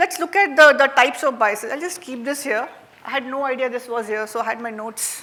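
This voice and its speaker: A woman's raised, projected voice, high in pitch and fairly quick, with a Marathi Indian accent, ordinary pitch variation and noticeable background noise. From India, Maharashtra. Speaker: workshop facilitator. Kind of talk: interactive workshop talk. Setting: stage with audience. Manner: conversational, frequent fillers.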